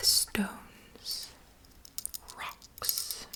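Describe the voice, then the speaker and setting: There is noticeable background noise behind the whispering. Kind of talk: whispered bilingual ASMR fairy tale narration; bedtime story reading. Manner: whispered, soft-spoken.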